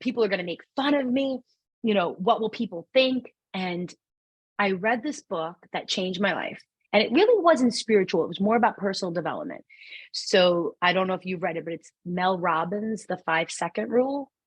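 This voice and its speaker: Somewhat breathy and at a medium pitch, a woman with a strong New York accent speaks with lively intonation. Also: moderate pace. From New York City. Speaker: numerologist and spiritual guide. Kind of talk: podcast interview conversation. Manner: animated.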